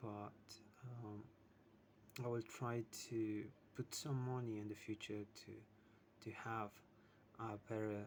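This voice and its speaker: Fairly slow, monotone, flat delivery in a non-native accent. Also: man. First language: not English. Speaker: English learner vlogger. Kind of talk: casual self-practice monologue. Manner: halting. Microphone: poor sound quality.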